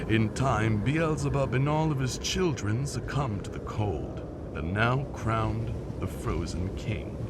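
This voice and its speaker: A cartoonish character voice runs at a moderate pace over loud background noise. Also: man, medium pitch for a man. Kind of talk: animated story narration. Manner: theatrical, storytelling.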